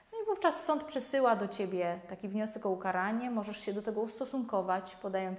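The speaker goes at a fairly quick pace. Pitch variation is ordinary. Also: woman. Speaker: lawyer. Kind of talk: legal explainer video. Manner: halting, with many fillers.

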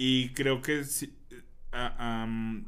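A man's voice with audible room echo. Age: 30s. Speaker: podcast co-host. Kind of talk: casual chat. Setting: studio.

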